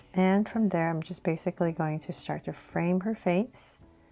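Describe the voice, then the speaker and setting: With music in the background, a woman speaks fairly slowly in a calm, soothing tone at a fairly low pitch with ordinary pitch variation. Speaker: drawing tutor. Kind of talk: step-by-step drawing tutorial narration.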